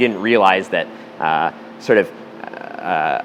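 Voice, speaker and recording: Over noticeable background noise, a man with an American accent talks at a fairly low pitch with ordinary pitch variation. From US Midwest, St. Louis, Missouri. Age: 30s. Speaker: rock climber. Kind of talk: interview monologue, storytelling. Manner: halting, many fillers.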